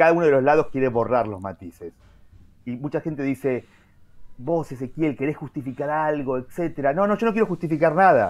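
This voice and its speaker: With lively intonation, a man talks at a fairly quick pace in a fairly high pitch. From Argentina. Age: 40s. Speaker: journalist and writer; journalist. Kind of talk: interview. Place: home room. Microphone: video call.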